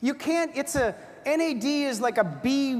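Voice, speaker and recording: A woman talks in an animated tone against noticeable background noise. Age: 60s. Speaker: product presenter. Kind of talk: sales pitch.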